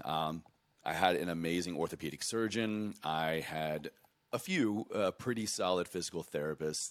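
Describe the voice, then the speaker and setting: A man is speaking. His voice has vocal fry. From US South, southwest Virginia. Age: 30s. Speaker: Army veteran and health coach. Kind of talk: casual interview.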